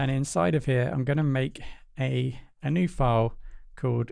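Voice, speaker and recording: A man speaks with a dark, mellow tone at medium pitch and ordinary pitch variation. The background is quiet. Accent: British. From Britain. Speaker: programming tutor. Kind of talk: tutorial. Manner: casual, with fillers.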